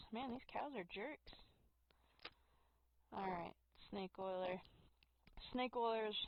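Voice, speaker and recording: The sound is dry and close with no echo as a woman talks at a very slow pace with long, frequent pauses. Her pitch is fairly high and varies in an ordinary way. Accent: American. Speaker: gaming streamer. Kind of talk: live gameplay commentary; reading game text aloud.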